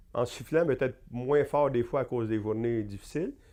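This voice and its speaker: The man's voice, medium in pitch with a dark, mellow tone, comes through against a quiet background. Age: 60s. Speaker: accounting professor and university administrator. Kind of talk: interview. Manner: hesitant, many fillers.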